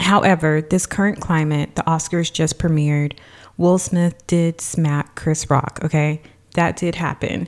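Fairly slow delivery, very even loudness, and fairly even intonation. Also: woman, very deep, low pitch for a woman. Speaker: wellness and financial coach. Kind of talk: solo podcast monologue, motivational talk.

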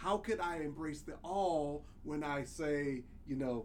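The man has an unremarkable speaking voice with an American accent. His pitch is fairly high, with ordinary variation. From US South. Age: 50s. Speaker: podcast co-host. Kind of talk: casual chat.

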